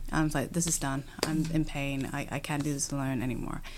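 A woman with an American accent at a moderate pace, with ordinary pitch variation. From UK. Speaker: podcast host. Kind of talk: interview conversation. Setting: indoor venue recording.

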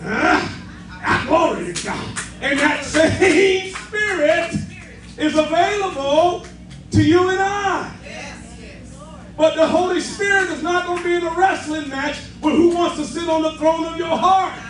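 With music in the background, a man speaks at a fairly slow pace in an extremely high pitch. His tone is animated, and his loudness swings widely. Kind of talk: sermon. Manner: animated, call-and-response preaching with exclamatory 'yes' and 'say amen' prompts.

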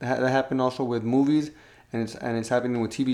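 Here a man talks at a fairly quick pace and medium pitch. He has an unremarkable speaking voice. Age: 20s. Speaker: podcast co-host. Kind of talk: casual chat.

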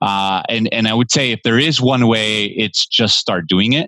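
An American accent marks this man's speech at a medium pitch. He talks at a fairly slow pace with ordinary pitch variation. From Los Angeles, California. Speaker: investor and army veteran. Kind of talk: interview conversation.

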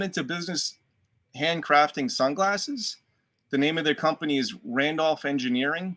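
Recorded very cleanly against a silent background, a man with a Boston accent has a bright, sharp tone and a dry, close sound with no echo. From Boston, Dorchester. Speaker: actor. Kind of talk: casual chat.

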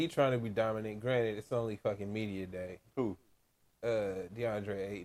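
Speaking fairly low at a moderate pace, a man shifts widely in loudness. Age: 30s. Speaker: podcast co-host. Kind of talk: casual chat. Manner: animated.

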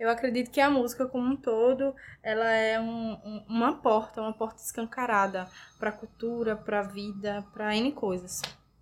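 At a moderate pace, a woman with a fairly high pitch and an unremarkable speaking voice is heard on a very clean recording with a silent background. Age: 20s. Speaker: student and orchestra violinist. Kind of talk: interview.

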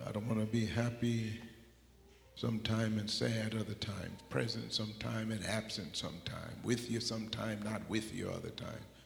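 Over noticeable background noise, a man speaks at a moderate pace in a fairly low pitch with monotone, flat intonation. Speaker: preacher. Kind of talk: sermon. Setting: church.

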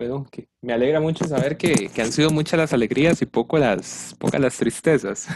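Using a normal speaking voice, a man talks at a moderate pace with hardly any pauses, a fairly high pitch and ordinary pitch variation. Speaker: student podcast host. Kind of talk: interview. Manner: formal.

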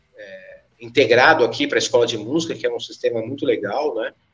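A man speaks at a moderate speed. Background music accompanies him. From São Paulo, south zone (Capão Redondo). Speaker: musician and music school owner. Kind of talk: casual podcast interview. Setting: at his music school.

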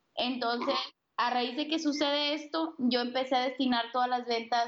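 Speaking at a moderate pace, a woman with a high-pitched voice uses ordinary pitch variation. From Sonora, northern Mexico. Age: 20s. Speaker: author and suicide prevention advocate. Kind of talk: interview. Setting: Skype call.

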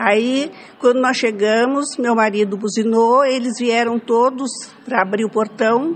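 Over noticeable background noise, a woman speaks at a fairly slow pace and fairly high pitch. Her intonation is fairly even and her loudness very even. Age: old. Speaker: elderly woman telling her life story. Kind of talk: storytelling.

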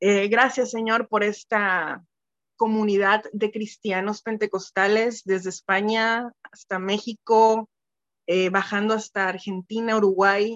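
In a dry, close sound with no echo, a woman speaks very slowly at a fairly high pitch with monotone, flat intonation. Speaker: church member. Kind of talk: prayer; testimony. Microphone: phone.

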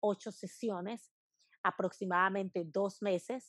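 Against a quiet background with a dry, close sound and no echo, a woman talks at a fairly slow pace and medium pitch with fairly even intonation. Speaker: branding consultant. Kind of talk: interview conversation. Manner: forceful, dominant; passionate.

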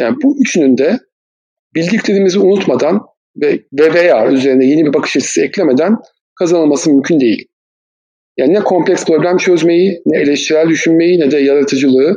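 This man has a high-pitched voice and lively intonation. He keeps a fairly quick pace at very even loudness. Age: 40s. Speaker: management consultant and trainer. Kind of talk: podcast interview.

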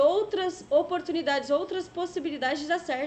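Talking fairly quickly, the woman shows ordinary pitch variation. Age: 20s. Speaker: online show host. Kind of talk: casual chat.

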